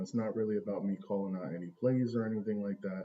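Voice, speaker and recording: Here a man talks at a fairly low pitch. His pace is moderate, with ordinary pitch variation. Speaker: stock trading streamer. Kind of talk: live stream charting session. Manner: soft-spoken, talking low. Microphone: volume low, echoing room.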